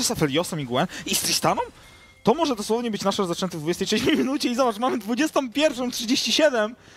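Noticeable background noise runs under this clip. A man speaks with very wide pitch swings. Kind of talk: esports match commentary, co-caster analysis.

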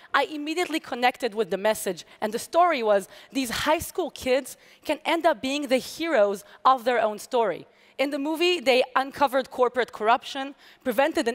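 A woman with an Israeli accent, high-pitched and lively in intonation, at a moderate pace over a quiet background. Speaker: hacker and security researcher. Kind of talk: conference talk. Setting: stage with audience. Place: stage.

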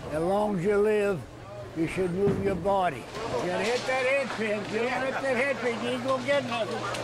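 Loud background noise behind a man's high voice, very wide pitch swings and a moderate pace. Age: old. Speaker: retired senior bowler. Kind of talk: casual interview answer. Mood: cheerful, matter-of-fact. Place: hall. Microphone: lapel.

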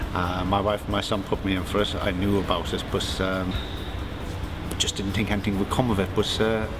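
Against loud background noise, a man talks at a fairly quick pace. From Ireland. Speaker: surveyor, adult swimming learner. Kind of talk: interview testimony. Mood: modest, pleased. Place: hall.

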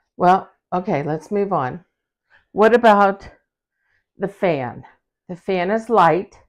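A woman speaks at a very slow pace, with ordinary pitch variation. Long, frequent pauses fall against a quiet background. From rural farm country. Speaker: co-host of home organizing channel. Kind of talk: casual chat. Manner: animated. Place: home room. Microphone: lapel.

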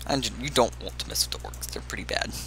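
There is noticeable background noise behind this man. His voice is very deep and low, and his pace is moderate. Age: 20s. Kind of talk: casual gameplay commentary.

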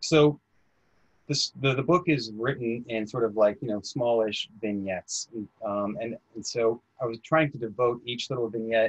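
With an American accent, a man of medium pitch speaks at a fairly slow pace with ordinary pitch variation, in a dry, close sound with no echo. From US Midwest, northern Illinois. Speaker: novelist. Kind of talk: author interview. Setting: video call. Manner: halting.

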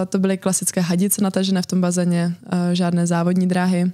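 A woman speaks at a fairly quick pace against a quiet background. Her pitch is medium and her tone dark and mellow. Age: 20s. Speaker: competitive swimmer; guest. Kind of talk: interview. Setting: studio. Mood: relaxed, smiling. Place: studio. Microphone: studio mic.

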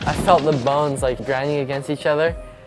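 A man talks at a moderate pace. Clear music plays behind him. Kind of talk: interview answer. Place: shop.

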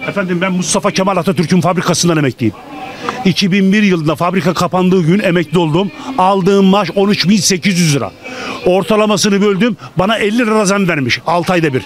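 A man with a high pitch speaks in an animated tone with ordinary pitch variation and very even loudness, the sound dry with no echo and light noise behind it. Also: moderate pace. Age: old. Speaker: retiree interviewed in street; interviewee. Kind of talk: street interview. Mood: angry, complaining about prices. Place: street. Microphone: handheld.

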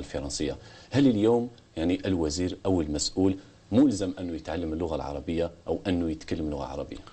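A man with a very deep, low pitch and a dark, mellow, somewhat breathy tone speaks at a fairly quick pace with ordinary pitch variation. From Algeria. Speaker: TV host. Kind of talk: TV interview. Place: studio.

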